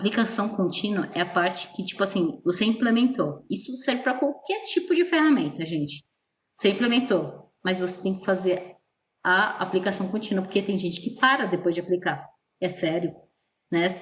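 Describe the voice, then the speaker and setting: A somewhat breathy woman speaks at a moderate pace with lively intonation. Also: medium pitch for a woman. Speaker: teacher. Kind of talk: online lecture. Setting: virtual class. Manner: casual.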